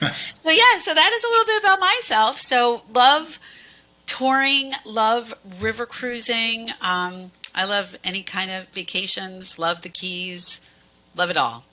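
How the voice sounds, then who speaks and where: A woman with a US Northeastern accent, fairly high pitch and very wide pitch swings, at a fairly slow pace over noticeable background noise. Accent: US Northeast. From Pennsylvania, US Northeast. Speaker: cruise line sales manager. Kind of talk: casual interview.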